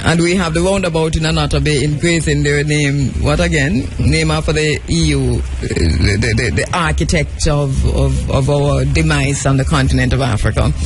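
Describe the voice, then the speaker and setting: A man at a moderate pace with hardly any pauses and very even loudness, over music in the background, with audible room echo. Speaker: radio talk show host. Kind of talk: casual political discussion. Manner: halting, repeats words.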